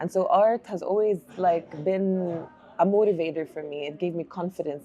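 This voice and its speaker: Speaking with an Arabic accent, a woman keeps a moderate pace and fairly even intonation. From Jordan, Amman (Palestinian family, early childhood in Oman). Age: 40s. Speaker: artist. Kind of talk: interview. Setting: bookstore cafe.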